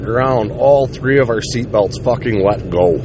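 Against noticeable background noise and audible room echo, a man speaks at a medium pitch. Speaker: podcast host. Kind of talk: casual storytelling monologue. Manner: casual, rambling.

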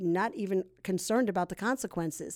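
This is an ordinary speaking voice at a moderate pace. The recording is very clean, with a silent background. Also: woman. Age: 60s. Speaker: ex-addict sharing testimony, prison ministry volunteer. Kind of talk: testimony.

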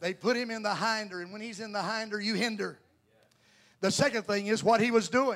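A man with a Southern US accent talks at a fairly quick pace in a high pitch. His tone is animated, and his loudness swings widely. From US South, North Carolina. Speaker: Pentecostal preacher. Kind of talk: sermon. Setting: church.

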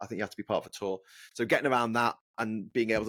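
Someone talks at a very fast pace in a Scouse accent, with fairly even intonation. The recording is very clean, with a silent background. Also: man. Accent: Scouse, Liverpool. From Liverpool, England. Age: 40s. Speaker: travel record holder, author. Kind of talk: casual interview.

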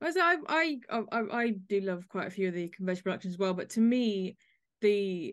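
A woman with an English accent over a quiet background. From England. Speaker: podcast host. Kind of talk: panel discussion hosting.

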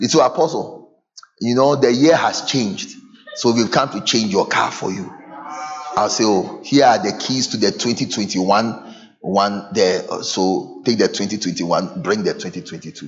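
A man with a Ghanaian accent, medium pitch, lively intonation and a fairly slow pace. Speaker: pastor. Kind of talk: sermon. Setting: church with congregation. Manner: animated.

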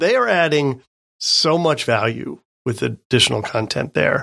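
A man's speech at a fairly slow pace. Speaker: podcast co-host. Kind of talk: casual podcast chat. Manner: slow talker.

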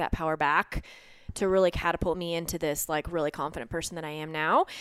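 Fairly quick speech from a woman, on a very clean recording with a silent background. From Colorado, US. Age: 30s. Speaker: competitive CrossFit athlete and physical therapist. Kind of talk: casual interview chat.

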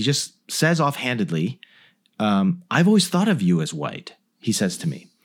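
The recording is very clean, with a silent background. A man with a General American accent speaks at a fairly slow pace with very wide pitch swings. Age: 40s. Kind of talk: casual interview chat.

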